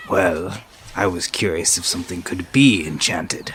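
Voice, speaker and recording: A put-on character voice at a moderate pace over clear background noise. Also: man, very deep, low pitch for a man. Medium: actual play. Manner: formal, stiff.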